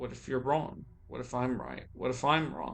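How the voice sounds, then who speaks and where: A man talks with audible room echo and music playing in the background. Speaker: vlogger. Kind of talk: personal monologue. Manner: slow; halting.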